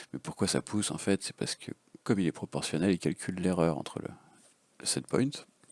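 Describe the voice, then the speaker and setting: A man with a very deep, low voice and some vocal fry talks at a fairly quick pace with lively intonation, broken by long, frequent pauses. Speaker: FPV drone hobbyist. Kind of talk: casual unscripted tutorial.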